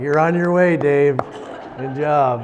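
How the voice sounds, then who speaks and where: With a Canadian accent, a man speaks at a fairly high pitch and a very slow pace, his intonation fairly even, amid noticeable background noise and audible room echo. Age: 60s. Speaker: lay preacher. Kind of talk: sermon. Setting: church. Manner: hesitant.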